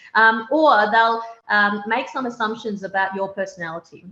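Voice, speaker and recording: Speaking in a strong Australian accent, a woman with a bright, sharp tone and medium pitch keeps a moderate pace. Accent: broad Australian. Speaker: opposition party leader. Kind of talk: panel discussion.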